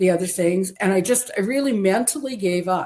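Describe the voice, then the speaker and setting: A woman with a Canadian accent speaks in an unremarkable speaking voice at a moderate pace, her medium pitch showing ordinary pitch variation. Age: 60s. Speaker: interviewee sharing weight-loss story. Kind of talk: interview testimony.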